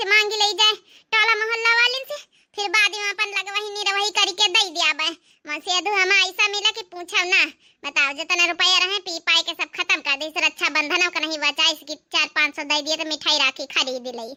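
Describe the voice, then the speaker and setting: In a cartoonish character voice, a woman speaks extremely high at a fairly quick pace with lively intonation. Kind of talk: cartoon village comedy. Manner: nagging, complaining.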